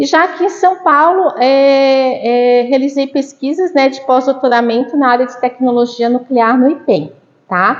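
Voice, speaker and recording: A woman's high voice in a Santa Catarina accent, at a fairly slow pace with ordinary pitch variation. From Brazil, Santa Catarina (Florianópolis). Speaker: university professor. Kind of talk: lecture. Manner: conversational, many fillers.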